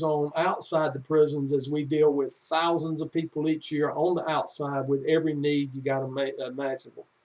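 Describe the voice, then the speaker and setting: The speaker keeps a moderate pace in a monotone, flat delivery. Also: man. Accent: North Carolina. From US South, North Carolina (Anson County). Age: 60s. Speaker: executive director of a prison reentry nonprofit. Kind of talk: informational talk to camera. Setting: home office. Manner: casual, folksy, with fillers.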